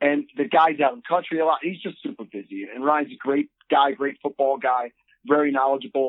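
Speaking at a fairly quick pace, a man with a normal speaking voice and fairly high pitch uses lively intonation. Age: 40s. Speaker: podcast guest, operating engineer. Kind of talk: casual chat.

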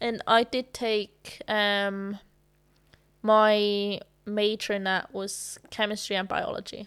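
Her pitch is medium, and her intonation is monotone and flat. The woman speaks at a very slow pace. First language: not English. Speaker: actress. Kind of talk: casual chat. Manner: laughs often.

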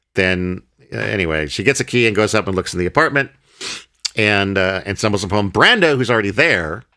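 A man with a bright, sharp tone talks at a fairly quick pace with ordinary pitch variation. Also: fairly low pitch for a man. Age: 40s. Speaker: podcast host. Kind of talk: casual chat.

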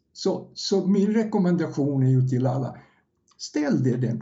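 A man speaks at a fairly slow pace with very wide pitch swings. Audible room echo fills the recording. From Yugoslavia. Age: 70s. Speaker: first-time author, former salesman. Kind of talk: podcast interview. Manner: halting, repeats words.

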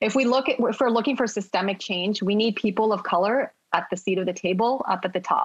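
A woman with an American accent and an ordinary speaking voice, fairly high in pitch, with ordinary pitch variation at a moderate pace. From United States, family from China and Hong Kong. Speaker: pharmacist. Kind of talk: podcast interview.

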